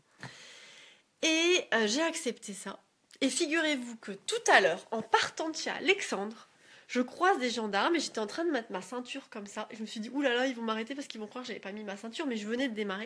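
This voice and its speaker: Her high-pitched voice is animated, and the woman's pitch swings very widely. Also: big swings in loudness. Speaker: yoga teacher. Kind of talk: casual vlog monologue. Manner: fast.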